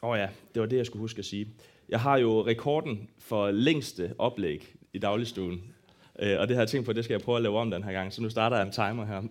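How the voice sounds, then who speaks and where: On a very clean recording with a silent background, a man speaks at a moderate pace and a medium pitch, leaving long, frequent pauses. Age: 20s. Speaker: worship leader giving a church talk. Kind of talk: sermon-style talk on prayer. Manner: halting, many fillers.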